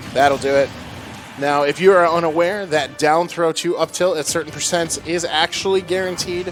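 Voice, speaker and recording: Over music in the background, the voice moves at a moderate pace with fairly even intonation. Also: man, high pitch for a man. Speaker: esports commentator. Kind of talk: live commentary. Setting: in the room next to the players.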